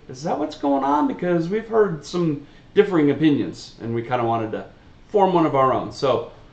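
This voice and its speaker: Against noticeable background noise and audible room echo, a man speaks at a moderate pace with lively intonation. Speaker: reaction video host. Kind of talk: casual chat. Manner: loud; animated.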